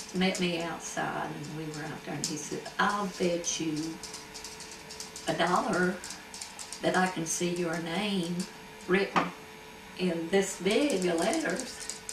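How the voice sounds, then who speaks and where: A woman with an Appalachian accent talks at a very slow pace and fairly low pitch with fairly even intonation, long, frequent pauses, and noticeable background noise. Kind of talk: oral history interview answer. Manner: casual, storytelling.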